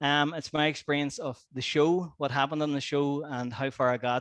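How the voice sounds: Fairly high in pitch, this man's voice has a fairly bright tone. His intonation is fairly even. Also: moderate pace.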